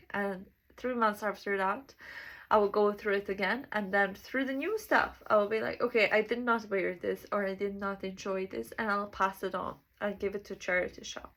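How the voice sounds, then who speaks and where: A woman speaks with a Serbian accent at a medium pitch and a moderate pace. The recording is very clean with a silent background. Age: 20s. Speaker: self-development vlogger. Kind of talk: casual monologue. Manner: halting.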